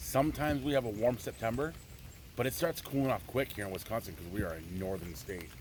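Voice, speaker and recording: A loud man at a very fast pace, fairly low in pitch, with very wide pitch swings. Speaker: outdoor adventure vlogger. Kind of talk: casual vlog narration. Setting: outdoors, kayaking in rain.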